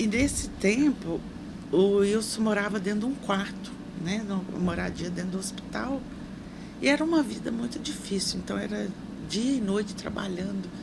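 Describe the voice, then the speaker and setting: Over noticeable background noise and audible room echo, a woman speaks at a moderate pace and medium pitch, with ordinary pitch variation. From Brazil, Minas Gerais. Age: 60s. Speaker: social assistance secretary and nurse. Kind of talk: interview.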